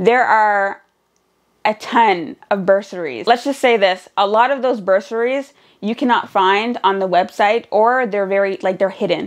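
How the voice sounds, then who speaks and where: A woman with a Nova Scotian accent, medium pitch and a fairly slow pace against a quiet background. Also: ordinary pitch variation. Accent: Canadian (Nova Scotian). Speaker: vlogger and student single mother. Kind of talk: casual vlog talk.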